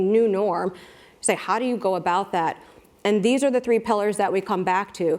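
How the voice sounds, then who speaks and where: A woman speaks in a plain, everyday voice with an American accent. Her pitch is medium, her pitch variation ordinary and her pace moderate. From United States. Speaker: brand marketing executive. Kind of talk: panel talk.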